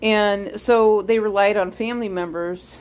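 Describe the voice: A woman is speaking with a slightly mellow tone. Her intonation stays fairly even.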